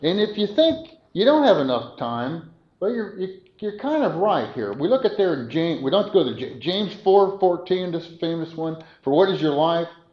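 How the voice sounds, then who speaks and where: Amid audible room echo, a man with a high pitch speaks at a moderate pace, his pitch swinging very widely. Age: 70s. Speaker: preacher. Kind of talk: sermon. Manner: halting; conversational.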